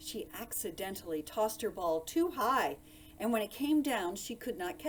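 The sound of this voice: Here is an unforced reading voice. It carries through the clip.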